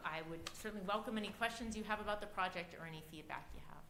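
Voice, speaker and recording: A woman with an American accent at a very fast pace, ordinary pitch variation, audible room echo, and noticeable background noise. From Ohio. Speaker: civics club leader presenting to council. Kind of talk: public presentation at council meeting. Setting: city council chamber.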